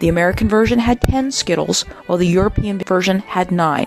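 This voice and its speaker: Over music in the background, a woman with a medium-pitched voice speaks at a fairly quick pace and ordinary pitch variation. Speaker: auction house presenter or specialist. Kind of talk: auction house item preview narration, descriptive presentation.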